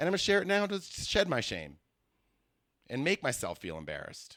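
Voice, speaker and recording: A man with a New York accent at a very fast pace, ordinary pitch variation, on a very clean recording with a silent background. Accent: American (New York area). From New York area, US. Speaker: comedian. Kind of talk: casual podcast monologue. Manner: halting.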